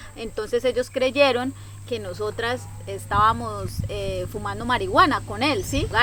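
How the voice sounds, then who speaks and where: A woman speaks with a Colombian accent. She talks at a fairly slow pace. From Colombia, Caquetá. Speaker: travel content creator. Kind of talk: personal storytelling vlog. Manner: animated.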